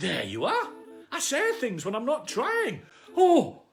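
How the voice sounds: The clip has a natural reading voice. Text is being read out.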